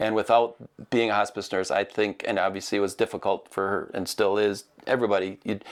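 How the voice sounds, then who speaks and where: Recorded very cleanly against a silent background, a man with a Midwestern accent speaks at a fairly quick pace in a fairly low voice. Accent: Midwest. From US Midwest. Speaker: interviewer, movie theater host. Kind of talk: interview. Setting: studio.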